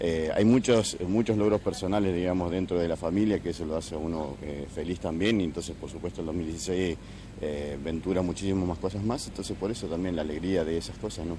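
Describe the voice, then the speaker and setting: Hardly pausing, a man with a very deep, low pitch talks at a very fast pace and with ordinary pitch variation. The sound is dry with no echo, and there is noticeable background noise. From Argentina. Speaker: interviewee on the street; interviewee. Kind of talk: street interview. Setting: outdoors. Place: street. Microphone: handheld.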